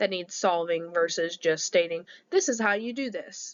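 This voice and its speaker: Using a plain, everyday voice, a woman talks at a moderate pace, her pitch varying in an ordinary way. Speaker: teacher. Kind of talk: lecture. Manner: conversational.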